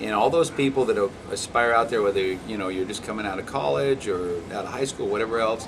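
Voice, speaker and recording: There is noticeable background noise in this recording. A man speaks at a medium pitch and a fairly quick pace. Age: 60s. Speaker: elected county official. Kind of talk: interview.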